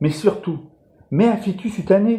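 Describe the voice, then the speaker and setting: A man speaks with a northern French accent. His tone is dark and mellow. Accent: Ch'ti (Picard) dialect. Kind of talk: humorous monologue to camera. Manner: casual, jokey.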